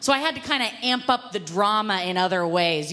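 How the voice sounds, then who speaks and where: Noticeable background noise behind a woman of medium pitch at a moderate pace, with very wide pitch swings. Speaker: comedian. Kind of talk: comedic storytelling.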